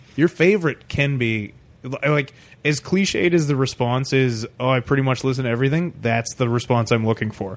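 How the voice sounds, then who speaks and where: A man with a Canadian accent speaks in an ordinary speaking voice at medium pitch. His pace is moderate, and his pitch variation is ordinary. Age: 30s. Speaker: stand-up comedian. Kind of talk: casual chat. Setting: home room.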